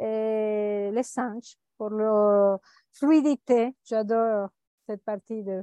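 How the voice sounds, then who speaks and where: Speaking very slowly with a Spanish accent, a woman uses a fairly high pitch, a dark, mellow tone and fairly even intonation. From Venezuela. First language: Spanish (speaking French). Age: 50s. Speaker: life coach and author. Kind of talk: interview. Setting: remote call. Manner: halting.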